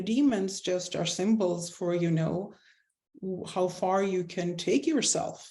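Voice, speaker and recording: A medium-pitched woman with a non-native accent, somewhat breathy and dark, mellow in tone, at a fairly slow pace with ordinary pitch variation. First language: not English. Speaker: spiritual coach. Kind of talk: interview.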